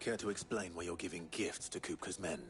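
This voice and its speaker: Clear background noise sits behind a man doing a put-on character voice with a very deep, low pitch. He goes at a fairly quick pace with fairly even intonation. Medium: video game. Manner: dry, understated.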